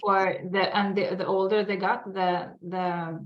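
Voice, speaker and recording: With a Swedish accent, a woman talks at a fairly slow pace, her medium pitch moving in a fairly even intonation. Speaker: sugar addiction expert. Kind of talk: casual interview. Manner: halting.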